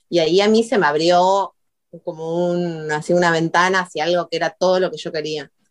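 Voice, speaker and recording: A woman with a normal speaking voice uses fairly even intonation. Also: fairly low pitch for a woman, fairly quick pace. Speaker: video artist. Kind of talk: interview.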